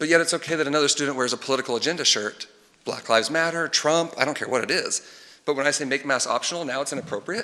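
Talking at a very fast pace in a Texan accent, a man with a fairly high pitch uses ordinary pitch variation. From Texas, Tomball/Montgomery area. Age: 30s. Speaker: parent speaking at public comment. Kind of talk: public comment at school board meeting.

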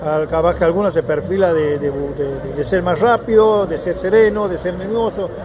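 The pitch variation is ordinary. Noticeable background noise is present. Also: man. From Argentina, Santiago del Estero (La Banda); Argentina. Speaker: goalkeeping coach, former goalkeeper; goalkeeping coach. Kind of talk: interview. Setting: stadium. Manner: halting. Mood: warm, glad to be back. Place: stadium. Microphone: handheld.

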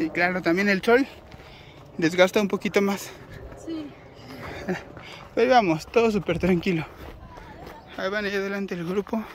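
A man talks at a moderate pace with long, frequent pauses. The sound is dry with no echo, and there is light background noise. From Mexico, Mexico City area; Mexico. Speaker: travel vlogger. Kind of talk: casual vlog narration. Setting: outdoors. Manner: animated. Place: forest. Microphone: phone near.

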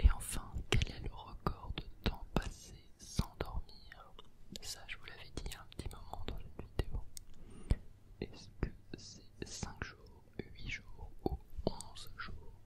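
A man is whispering. He goes at a very slow pace. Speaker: ASMR creator. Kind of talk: ASMR quiz read to help sleep. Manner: slow, close whispering. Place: home room. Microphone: studio mic.

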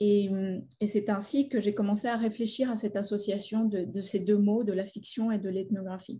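Her voice somewhat breathy, a woman speaks at a moderate pace in a medium pitch with a dark, mellow tone and monotone, flat intonation. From Colombia, Bogota; Colombia. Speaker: artist and filmmaker; guest. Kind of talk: public talk. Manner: halting. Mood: thoughtful, calm. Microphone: webcam.

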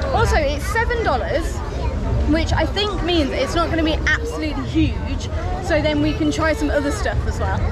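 Someone speaks at a moderate pace while crowd noise carries in the background. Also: woman. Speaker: travel vlogger. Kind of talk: casual vlog chat. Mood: excited, cheerful. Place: market. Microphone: phone near.

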